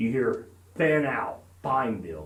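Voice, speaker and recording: A man puts on a gravelly character voice at medium pitch. There is slight echo. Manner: echoing, commanding.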